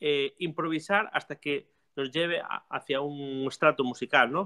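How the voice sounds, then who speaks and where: The clip has a normal speaking voice at a moderate pace over a quiet background. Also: man. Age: 40s. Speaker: music teacher and theater company director; music teacher. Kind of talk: casual chat. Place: workshop. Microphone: video call.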